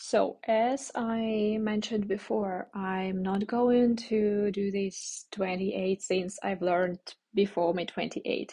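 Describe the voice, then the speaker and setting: Very slowly and somewhat breathily, a woman speaks at a medium pitch with fairly even intonation. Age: 20s. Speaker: podcast host. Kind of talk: solo podcast monologue. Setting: recording abroad while traveling. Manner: halting, many fillers.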